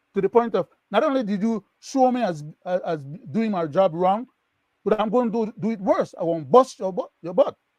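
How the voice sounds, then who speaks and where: In a dry, close sound with no echo, a man with a high pitch talks at a moderate pace, his tone animated and his intonation lively. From Belize. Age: 70s. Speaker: political panelist. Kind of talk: panel discussion.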